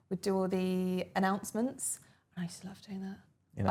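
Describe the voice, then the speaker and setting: In an Essex accent, a woman speaks at a moderate pace and medium pitch with monotone, flat intonation on a very clean recording with a silent background. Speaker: former airline cabin crew, interviewee. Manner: casual, conversational with frequent fillers.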